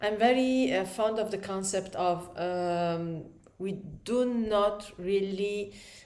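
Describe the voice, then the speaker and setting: In an Italian accent, a woman talks at a very slow pace with fairly even intonation, and audible room echo fills the recording. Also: medium pitch for a woman. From Italy. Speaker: aspiring writer vlogger. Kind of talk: casual vlog talk. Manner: halting, many fillers.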